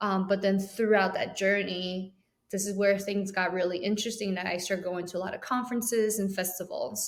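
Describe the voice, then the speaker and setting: A woman with a Chinese accent talks at a fairly quick pace. Her medium pitch stays in a monotone, flat intonation. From Taiwan. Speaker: animation program chair and educator. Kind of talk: podcast interview. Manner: hesitant, many fillers.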